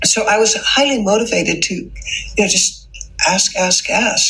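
A woman's moderately paced voice with music in the background. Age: 70s. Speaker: anti-trafficking advocate and author. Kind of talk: casual chat.

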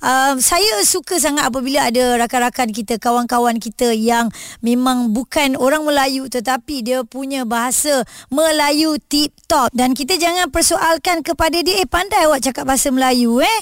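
In a very clean recording with a silent background and a dry, close sound free of echo, a woman with a high voice speaks at a moderate pace, with ordinary pitch variation, very even loudness and hardly any pauses. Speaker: radio host. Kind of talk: radio talk show with interviews.

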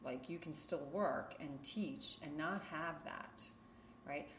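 Her intonation lively, a woman with a New York accent speaks at a very slow pace. Audible room echo is present. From Queens, New York. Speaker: yoga teacher. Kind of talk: interview. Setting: home yoga studio.

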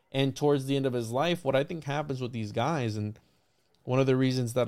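A man has a plain, everyday voice with a medium pitch and fairly even intonation. It is a very clean recording with a silent background. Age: 20s. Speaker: podcast host. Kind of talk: interview.

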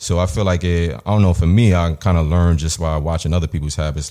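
A man with a New York accent, very deep, low pitch and dark, mellow tone, talking at a very fast pace with ordinary pitch variation. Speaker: rapper. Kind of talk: casual interview.

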